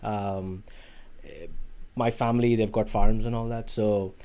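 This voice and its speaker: A man with an Indian accent speaks at a fairly quick pace in a dark, mellow tone, his medium-pitched voice held to a monotone, flat intonation. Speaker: automation engineer on an industry research placement. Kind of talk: podcast interview. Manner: halting, with many fillers and restarts.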